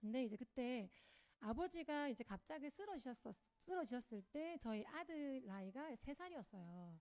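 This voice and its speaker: A woman talks at a moderate pace with a Gyeongsang accent. Her pitch is high and swings very widely. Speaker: network marketing speaker. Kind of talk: motivational talk. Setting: lecture hall with audience. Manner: hesitant, many fillers.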